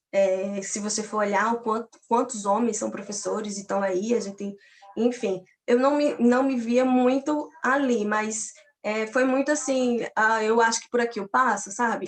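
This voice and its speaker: This is an unremarkable speaking voice, a woman's, pitched fairly high. She talks at a fairly slow pace, and her loudness swings widely. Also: fairly even intonation. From Paraíba, Brazil (Campina Grande). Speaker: physics teacher and doctoral student. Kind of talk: personal testimony in an online academic talk.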